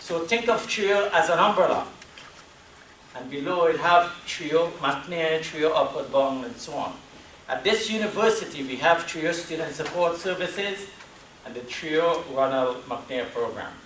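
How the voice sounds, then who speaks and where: Speaking with a Trinidadian accent, a man with a high voice swings widely in loudness, with noticeable background noise and audible room echo. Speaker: university program staff presenter. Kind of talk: presentation at a meeting.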